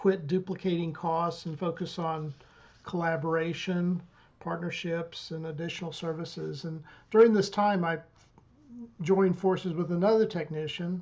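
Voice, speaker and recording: Speaking at a moderate pace, a woman has a fairly low pitch and monotone, flat intonation. Her loudness shows big swings. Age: 60s. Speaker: IT technician, small business owner. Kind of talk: podcast interview answer. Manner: halting, many fillers.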